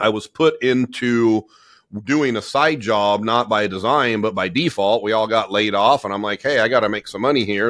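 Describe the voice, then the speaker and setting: Someone with a Californian accent is heard against a quiet background. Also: man. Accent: Californian American. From US, Southern California. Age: 40s. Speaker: business owner and coach. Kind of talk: interview.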